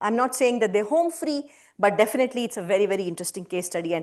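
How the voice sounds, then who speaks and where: A woman's pitch swings very widely as she talks. The background is quiet. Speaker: scientist giving guest lecture. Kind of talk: lecture. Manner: fast.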